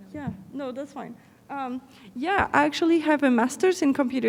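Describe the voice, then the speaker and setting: A woman talks at a moderate pace with a non-native accent. Her pitch is high. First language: not English. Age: 30s. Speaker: fashion brand owner and content creator. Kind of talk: conference panel talk.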